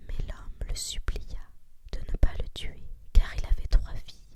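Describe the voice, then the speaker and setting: Whispering at a very slow pace in a calm, soothing tone. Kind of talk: whispered ASMR story reading. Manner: whispered, calm, soothing.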